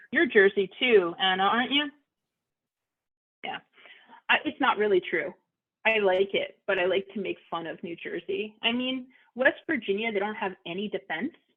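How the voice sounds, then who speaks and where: In a Philadelphia accent, a woman speaks at a fairly high pitch with lively intonation and big swings in loudness. Her pace is moderate, with long, frequent pauses. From Philadelphia, US. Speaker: audiologist hosting a support meeting. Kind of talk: casual group chat. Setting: video call.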